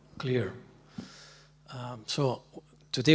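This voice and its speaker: Somewhat breathy and medium in pitch, a man speaks at a fairly slow pace. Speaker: panel moderator. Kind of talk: panel moderation.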